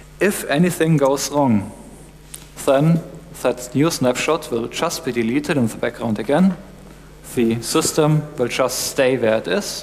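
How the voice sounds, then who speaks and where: A man's fairly slow speech, with ordinary pitch variation, comes through light background noise. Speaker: conference presenter. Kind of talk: lecture. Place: stage.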